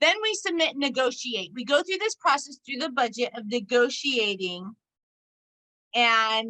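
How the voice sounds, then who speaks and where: Her voice is high-pitched with a bright, sharp tone. The woman's intonation is lively. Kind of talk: presentation to parent support group.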